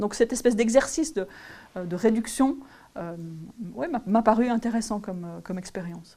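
A woman with a fairly high pitch and a dark, mellow, somewhat breathy tone speaks at a moderate pace, using ordinary pitch variation, big swings in loudness, and long, frequent pauses. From French-speaking region. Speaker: geography professor. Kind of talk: interview. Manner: halting, many repetitions and fillers.

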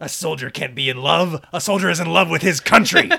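Using a put-on character voice, a man with a fairly high pitch speaks at a fairly quick pace. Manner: gruff.

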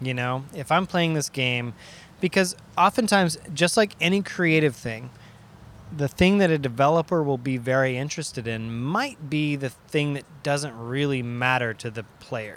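A man with a plain, everyday voice speaks at a fairly high pitch and a moderate pace, his intonation lively. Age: 30s. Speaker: video game sound designer and DJ. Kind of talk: casual chat.

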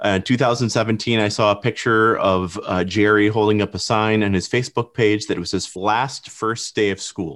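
In an ordinary speaking voice, a man talks at a moderate pace with fairly low pitch, fairly even intonation and hardly any pauses, captured on a very clean recording with a silent background. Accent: American. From Michigan. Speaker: filmmaker. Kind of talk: podcast conversation.

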